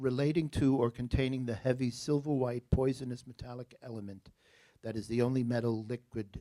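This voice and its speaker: In an American accent, a man talks with a dark, mellow tone. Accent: New Jersey accent, noticeable at times. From New Jersey. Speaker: spelling bee pronouncer. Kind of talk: spelling bee word reading. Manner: clear, deliberate enunciation.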